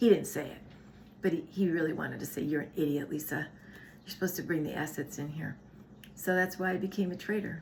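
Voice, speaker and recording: A woman talks at a very fast pace, her medium pitch moving with ordinary variation. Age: 60s. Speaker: wellness channel co-host. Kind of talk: casual chat.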